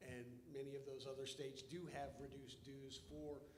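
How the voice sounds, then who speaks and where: There's audible room echo around this man. His voice is somewhat breathy. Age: 60s. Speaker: lawyer, bar board member. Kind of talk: formal meeting remarks, debate. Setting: hotel meeting room, livestreamed. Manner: halting, many repetitions and fillers.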